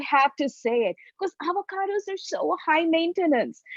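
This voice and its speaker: At a moderate pace, a woman with a Tamil accent speaks in a dry, close recording with no echo. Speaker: comedian. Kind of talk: stand-up.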